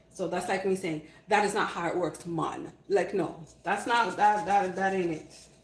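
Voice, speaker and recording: Noticeable background noise and audible room echo surround the speaker. A woman at medium pitch talks at a moderate pace in an animated tone. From Canada. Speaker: cooking livestreamer. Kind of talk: live cooking stream with chat replies. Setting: live stream.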